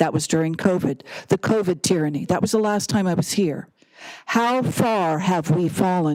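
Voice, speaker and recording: A woman speaks in a normal speaking voice at a moderate pace and fairly low pitch, with ordinary pitch variation and very even loudness. The recording is very clean, with a silent background. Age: 60s. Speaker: public commenter. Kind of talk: public comment speech. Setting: city council chamber.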